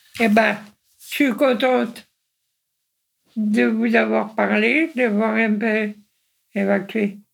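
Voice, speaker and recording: The speech moves at a very slow pace with long, frequent pauses. Its loudness swings widely. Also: woman. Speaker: retiree, yellow vest supporter. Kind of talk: casual interview.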